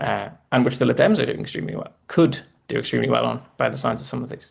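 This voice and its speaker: A man with a Northern Irish accent talks at a very fast pace. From Northern Ireland. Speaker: election analyst. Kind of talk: live election commentary. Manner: halting.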